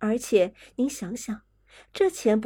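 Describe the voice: This is plain reading aloud. Nothing more is heard.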